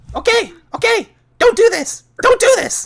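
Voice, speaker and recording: Someone does a squeaky put-on character voice at an extremely high pitch and a moderate pace. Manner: pleading, panicked.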